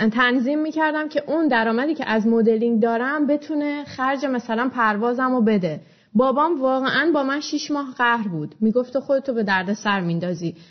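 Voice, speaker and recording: A woman talks at a moderate pace with hardly any pauses. Her high voice has lively intonation. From Iran, Shiraz. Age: 20s. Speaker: blogger and entrepreneur. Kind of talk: interview.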